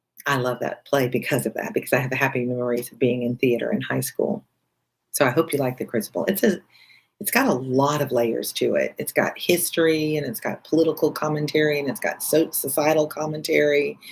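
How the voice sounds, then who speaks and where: This speaker has a Southern US accent. The pace is fairly quick. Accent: Southern American. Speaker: teacher, live reader. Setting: back porch, outdoors. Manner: soft indoor voice, soothing.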